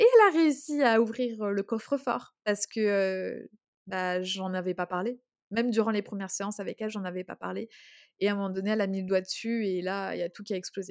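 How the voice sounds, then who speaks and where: A woman speaks at a medium pitch and a fairly quick pace, her pitch rising and falling in an ordinary way. The sound is dry and close with no echo, and the recording is very clean over a silent background. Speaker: podcast co-host, entrepreneur. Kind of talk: personal testimony in casual chat. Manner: halting, emotional.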